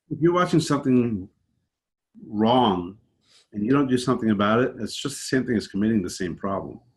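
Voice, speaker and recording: A man talks at a fairly quick pace with a New York accent and lively intonation. He leaves long, frequent pauses. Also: medium pitch for a man. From New York, Long Island. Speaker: podcast guest. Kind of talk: casual interview. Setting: remote call.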